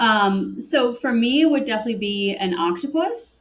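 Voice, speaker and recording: An ordinary speaking voice with an American accent, lively intonation, and a moderate pace. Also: woman. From US Northeast, Connecticut. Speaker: corporate sustainability director. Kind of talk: interview.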